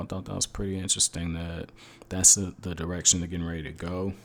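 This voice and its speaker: This man's voice has a very deep, low pitch. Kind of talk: anime episode review. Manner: casual.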